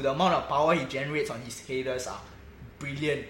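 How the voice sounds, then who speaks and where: A man with a Singaporean accent, amid noticeable background noise and audible room echo. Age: 20s. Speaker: football fan podcast host. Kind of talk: casual chat.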